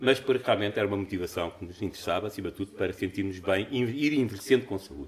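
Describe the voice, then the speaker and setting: A man with a fairly low, somewhat breathy voice speaks at a very fast pace with hardly any pauses, ordinary pitch variation and big swings in loudness. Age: 60s. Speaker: conference speaker, amateur marathon runner. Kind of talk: conference talk.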